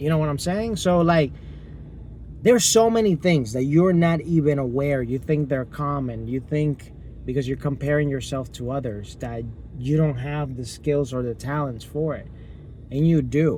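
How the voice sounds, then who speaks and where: A man with a Spanish accent, fairly high-pitched, at a moderate pace, with ordinary pitch variation. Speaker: YouTuber. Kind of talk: motivational vlog. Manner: animated.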